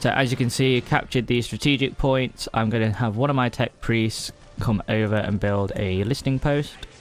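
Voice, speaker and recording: Against music in the background, a man of medium pitch speaks with very even loudness and fairly even intonation. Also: moderate pace. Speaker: gaming streamer. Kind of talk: live gameplay commentary. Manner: hesitant, many fillers.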